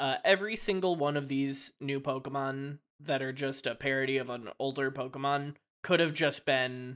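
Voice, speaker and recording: On a very clean recording with a silent background, a man with an ordinary speaking voice talks at a moderate pace, his pitch fairly high with ordinary variation. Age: 20s. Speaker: podcast co-host and editor. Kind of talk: casual chat.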